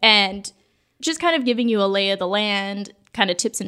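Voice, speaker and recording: Using a normal speaking voice, a woman with an American accent talks at a medium pitch and moderate pace with ordinary pitch variation. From Southern California. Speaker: former theme park guest relations cast member. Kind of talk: casual chat.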